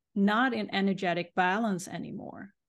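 Against a quiet background, the speaker uses a Swedish accent at a fairly slow pace with ordinary pitch variation. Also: woman. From Sweden. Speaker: life coach and energy healer. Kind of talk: interview.

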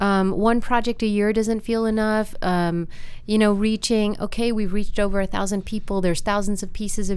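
This woman talks at a moderate pace. Her intonation stays monotone and flat. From US Midwest, Wisconsin. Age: 40s. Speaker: university staff member and arts nonprofit worker. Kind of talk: casual interview conversation.

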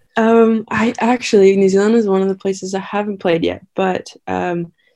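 The speech moves at a moderate pace. It carries a Canadian accent. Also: woman. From Victoria, British Columbia, Canada. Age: 20s. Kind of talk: interview. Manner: halting, many fillers.

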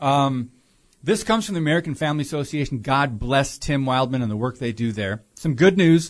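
Against a quiet background, a man with an ordinary speaking voice talks at a fairly high pitch and a fairly quick pace, his intonation lively. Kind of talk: talk radio discussion. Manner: many filler words.

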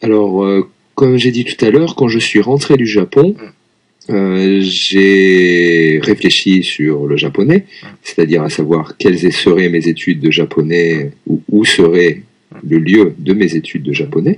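A man speaks very slowly in a very deep, low voice with lively intonation. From Lyon, France. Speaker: French teacher. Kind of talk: casual chat. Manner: halting.

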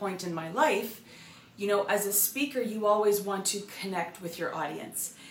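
Noticeable background noise sits under a woman's medium-pitched voice, which varies in pitch in an ordinary way. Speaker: real estate coach and broker. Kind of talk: motivational monologue.

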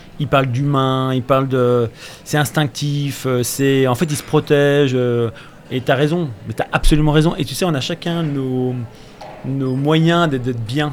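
Fairly high male voice at a very slow pace amid noticeable background noise. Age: 50s. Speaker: clothing brand founder. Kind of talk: radio interview, casual chat. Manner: animated.

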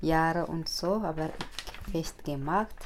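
A woman speaks at a very slow pace. Her voice sits at a fairly low pitch. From Ethiopia. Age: 40s. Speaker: meeting participant, single mother. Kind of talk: interview. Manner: halting.

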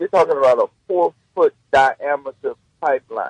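A man with a Southern US accent, in a dry, close sound with no echo. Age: 60s. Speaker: pastor. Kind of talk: interview. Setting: phone call.

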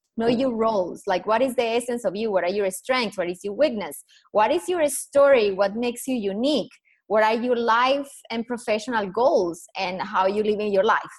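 Her pitch fairly high, a woman speaks with a Colombian accent. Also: ordinary pitch variation, moderate pace. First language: Spanish. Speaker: personal branding consultant. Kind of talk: interview. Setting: video call.

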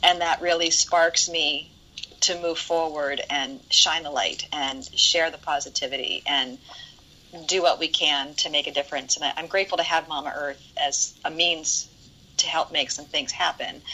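A woman with an American accent speaks at a moderate pace in a fairly low pitch, her intonation fairly even, over noticeable background noise. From Ohio, US Midwest. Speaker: event producer and nonprofit organizer. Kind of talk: casual interview chat.

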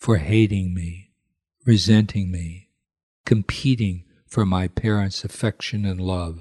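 Fairly slow and somewhat breathy, a man speaks in a very deep, low voice with fairly even intonation. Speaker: priest leading prayers. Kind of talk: guided prayer and devotional reading.

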